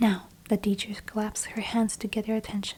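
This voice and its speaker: Whispering and soft-spoken, the speaker keeps a moderate pace. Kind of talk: audiobook-style reading of a novel, ASMR. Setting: quiet room with fireplace sounds in the background. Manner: soft-spoken, whispered.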